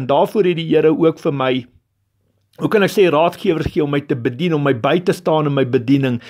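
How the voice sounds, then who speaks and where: A man speaks in an unremarkable speaking voice at a fairly high pitch. Pitch variation is ordinary, and the background is quiet. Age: 40s. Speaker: lay preacher, former truck driver. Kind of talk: sermon. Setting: recorded voice note.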